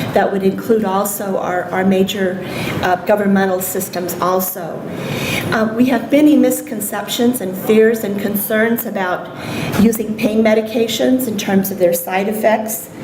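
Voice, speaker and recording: In a room with audible echo and noticeable background noise, a woman speaks at a moderate pace with a medium pitch and ordinary pitch variation. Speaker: nursing professor and palliative care researcher. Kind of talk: conference lecture. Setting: symposium stage with audience. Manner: hesitant with many ums. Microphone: may be too far from microphone.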